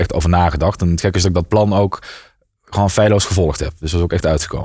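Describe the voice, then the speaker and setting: Very fast, somewhat breathy speech from a man with a very deep, low pitch, a dark, mellow tone and fairly even intonation. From Netherlands, Limburg (near Maastricht). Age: 30s. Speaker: entrepreneur, IT company founder. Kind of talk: interview.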